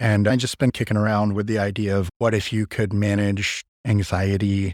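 A man with an ordinary speaking voice and fairly low pitch talks at a moderate pace. The recording is very clean, dry and close, with no echo and a silent background. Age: 30s. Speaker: gym owner and personal trainer. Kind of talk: casual chat.

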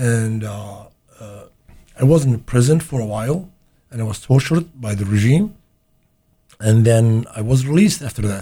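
A man speaks with an Arabic accent at a moderate pace, his pitch moving in an ordinary way. His tone is dark and mellow, and somewhat breathy. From Iraq, Baghdad. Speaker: immigrant sharing life story. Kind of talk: interview. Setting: studio. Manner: halting.

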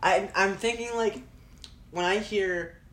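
Audible room echo surrounds the speech of a man. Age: 20s. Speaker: student and video business owner. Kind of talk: casual chat.

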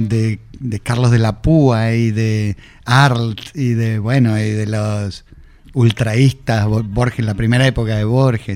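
A man with a medium-pitched voice speaks very slowly with fairly even intonation. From Argentina, Buenos Aires northern suburbs (Vicente López). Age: 50s. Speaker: rock musician. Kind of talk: interview.

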